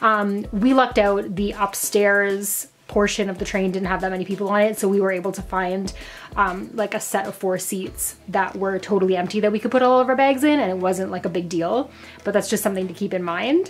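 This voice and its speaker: Against faint music in the background, a woman speaks at a fairly quick pace with fairly even intonation. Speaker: travel vlogger. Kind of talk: casual vlog chat. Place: home room. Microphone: phone near.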